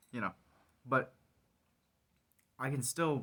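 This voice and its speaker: A soft-spoken man with a bright, sharp tone talks at a fairly quick pace. His intonation is fairly even, and the recording is very clean with a silent background. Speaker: vlogger. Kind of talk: casual monologue. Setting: garage.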